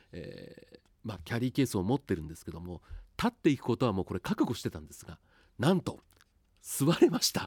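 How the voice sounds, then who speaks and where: Very fast speech from a man at medium pitch, with vocal fry, very wide pitch swings, big swings in loudness, long, frequent pauses and a dry, close sound with no echo. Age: 50s. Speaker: radio announcer. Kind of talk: casual monologue.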